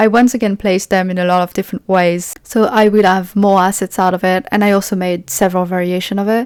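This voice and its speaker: A woman speaks very fast at a medium pitch, with a French accent and fairly even intonation. The sound is dry and close, with no echo. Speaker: indie game developer. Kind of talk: devlog narration. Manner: casual, with fillers.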